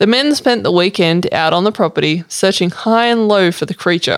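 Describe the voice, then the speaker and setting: In an Australian accent, a woman talks at a moderate pace and medium pitch with ordinary pitch variation. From Sydney, Australia. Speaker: co-host and researcher. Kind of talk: casual chat.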